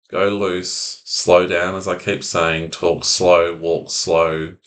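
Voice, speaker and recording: A man's voice comes through with a very deep, low pitch. His tone is calm. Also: quiet background. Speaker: anxiety recovery coach. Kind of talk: self-help talk to camera.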